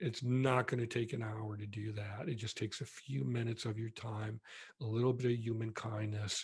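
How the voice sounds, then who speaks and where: Medium pitch marks this man's somewhat breathy voice. His intonation stays fairly even. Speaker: retired marketing executive. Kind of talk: casual chat. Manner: slow.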